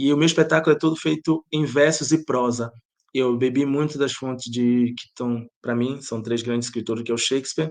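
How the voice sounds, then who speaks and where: Fairly quick in pace, a man of medium pitch speaks with fairly even intonation. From Bahia, Brazil. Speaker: playwright and theatre director. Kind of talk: interview.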